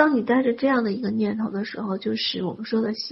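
A woman speaks in a fairly high pitch. Her intonation stays fairly even. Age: 40s. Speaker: spiritual wealth-manifestation teacher. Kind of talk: lecture.

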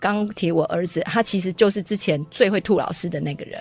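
At a fairly quick pace, a woman speaks at medium pitch with ordinary pitch variation in an unremarkable speaking voice. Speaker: homeschooling co-op parent. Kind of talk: radio interview.

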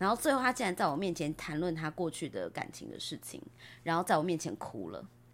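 On a very clean recording with a silent background, a woman with a fairly low pitch and vocal fry speaks at a fairly quick pace with lively intonation. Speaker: podcaster. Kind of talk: casual chat.

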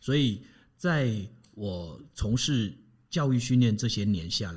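The somewhat breathy voice moves at a very slow pace, with very wide pitch swings. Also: man. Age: 50s. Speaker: personal coach and family educator. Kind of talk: interview, advice talk.

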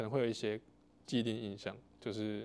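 A man talks at a medium pitch. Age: 20s. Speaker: podcast host. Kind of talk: interview.

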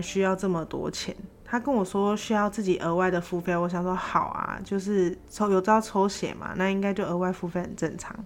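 Fairly quick pace from a woman with an unremarkable speaking voice and medium pitch. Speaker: podcaster working abroad. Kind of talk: solo casual storytelling.

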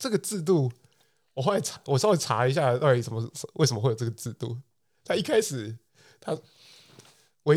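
A somewhat breathy man with a Taiwanese accent, medium pitch and a fairly quick pace, on a very clean recording with a silent background. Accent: Taiwanese Mandarin. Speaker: podcast co-host. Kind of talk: casual chat.

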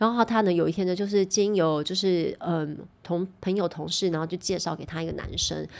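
A woman at a fairly quick pace with medium pitch and fairly even intonation, an ordinary speaking voice. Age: 40s. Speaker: podcast host and YouTuber. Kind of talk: casual chat.

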